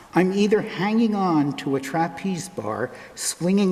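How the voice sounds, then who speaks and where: A man speaks at a very slow pace with very wide pitch swings. Noticeable background noise runs behind him. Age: 70s. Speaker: lay reader at a church service. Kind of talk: reading aloud.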